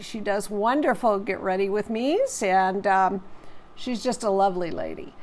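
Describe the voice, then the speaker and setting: A woman's fairly high voice, a plain, everyday voice, with ordinary pitch variation and a fairly slow pace. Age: 60s. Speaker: beauty and keto vlogger. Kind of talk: casual vlog talk to camera. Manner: casual with frequent fillers.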